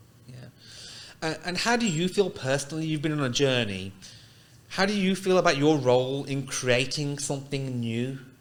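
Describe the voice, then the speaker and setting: With big swings in loudness, a man speaks at a moderate pace in a fairly high voice with lively intonation, and room echo is audible. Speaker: podcast host. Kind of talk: casual podcast interview. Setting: studio.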